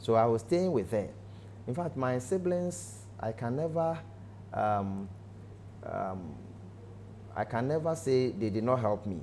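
A man's dark, mellow voice moves through very wide pitch swings. Long, frequent pauses break it up over light background noise. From Ghana, Ashanti region; Ghana. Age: 40s. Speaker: pastor. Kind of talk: testimony; interview answer, personal testimony. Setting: studio. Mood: earnest, emotional recollection. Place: studio. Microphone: lapel.

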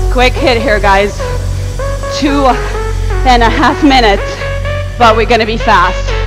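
With music in the background, a woman speaks at a fairly slow pace and a high pitch. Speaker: spin class instructor. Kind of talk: fitness class coaching. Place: gym. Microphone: earbuds.

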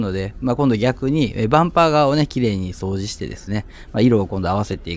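A man talks at a very fast pace. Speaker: used car dealer and mechanic. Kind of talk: casual video narration.

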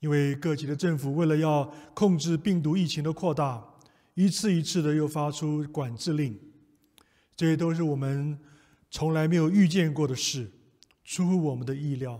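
A man talks at a moderate pace with long, frequent pauses over a quiet background. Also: ordinary pitch variation. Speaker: preacher leading prayer. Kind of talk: prayer. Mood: calm, solemn, reassuring. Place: church.

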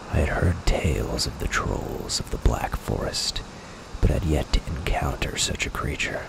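Someone whispers over noticeable background noise. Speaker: ASMR gaming narrator. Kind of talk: scripted roleplay storytelling narration. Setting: solo recording, gameplay narration. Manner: soft-spoken, hushed; slow, dramatic, theatrical storyteller.

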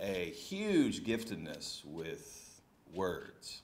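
A man talks with a Texan accent. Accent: Texan American English. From Texas. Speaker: pastor reviewing a book. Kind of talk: book review talk. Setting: church hall with audience. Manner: halting. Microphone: podium.

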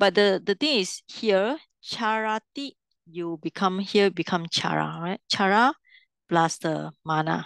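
A woman with lively intonation at a fairly slow pace, dry with no echo, against a quiet background. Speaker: Pali language teacher. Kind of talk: online language lesson. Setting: video call. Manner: instructive, leads students through exercises. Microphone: video call.

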